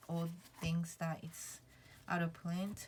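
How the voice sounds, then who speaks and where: Speech comes at a very slow pace. The voice is somewhat breathy. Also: woman. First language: not English. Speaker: tarot vlogger. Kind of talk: casual chat. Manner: halting, many fillers.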